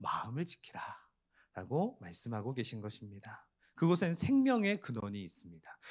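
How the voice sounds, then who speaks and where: Very wide pitch swings and big swings in loudness. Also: man, quiet background. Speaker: pastor. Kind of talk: sermon. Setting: church prayer meeting.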